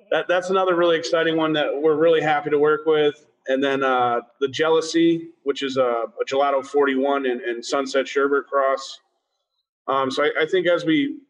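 A man with an American accent has an ordinary speaking voice. He talks at a moderate pace with fairly even intonation. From Massachusetts (Springfield). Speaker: cannabis cultivation manager. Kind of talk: interview.

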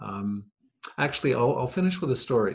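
Somewhat breathy speech is heard. It comes from a man. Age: 60s. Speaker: podcast guest, host's father. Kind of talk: casual chat.

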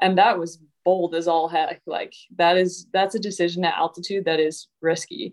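A woman's fairly low voice in a flat, monotone delivery. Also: moderate pace. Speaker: retired Olympic cross-country skier, guest co-host. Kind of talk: casual chat.

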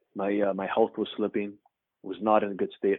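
A man talks at a fairly quick pace in a Canadian accent. His pitch is fairly low. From Canada. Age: 30s. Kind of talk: interview testimony.

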